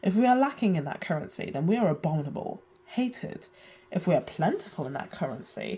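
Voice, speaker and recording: A woman with a British accent, fairly quick in pace, with very wide pitch swings. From UK. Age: 20s. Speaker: video essayist. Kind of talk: video essay narration.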